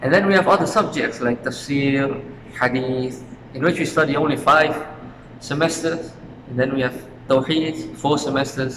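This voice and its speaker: A man speaks at a moderate pace with fairly high pitch and fairly even intonation. Long, frequent pauses break his speech, with audible room echo and noticeable background noise. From Suriname. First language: Dutch. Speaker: university student. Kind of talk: interview. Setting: outdoors in front of university faculty.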